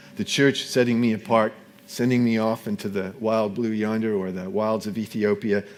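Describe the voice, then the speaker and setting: Someone with an American accent talks at a moderate pace with monotone, flat intonation. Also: man, medium pitch for a man. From US, Seattle, Washington. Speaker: former missionary, preacher. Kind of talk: sermon. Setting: church. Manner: halting.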